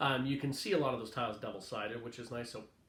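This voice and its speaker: A man's voice comes with audible room echo. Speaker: board game reviewer. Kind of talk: product review video. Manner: fast.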